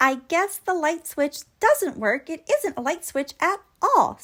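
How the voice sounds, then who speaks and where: A woman's squeaky put-on character voice, extremely high in pitch, at a fairly slow pace. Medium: read story.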